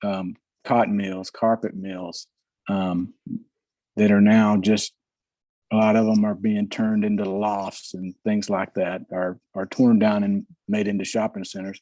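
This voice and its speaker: In a very clean recording with a silent background, a man with a Southern US accent speaks fairly slowly in a dark, mellow tone, fairly low in pitch, his intonation monotone and flat. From US South. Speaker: model railroader. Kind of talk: casual chat.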